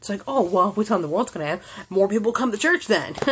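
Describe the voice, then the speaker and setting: A woman speaks in a somewhat breathy, animated tone with lively intonation. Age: 30s. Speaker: YouTube vlogger; vlogger. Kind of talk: rant vlog. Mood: angry, exasperated. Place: home room. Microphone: phone near.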